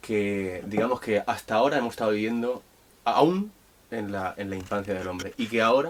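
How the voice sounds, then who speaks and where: Over noticeable background noise, a man talks at a fairly slow pace and medium pitch with ordinary pitch variation. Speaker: podcast host and interviewer. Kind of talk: interview question.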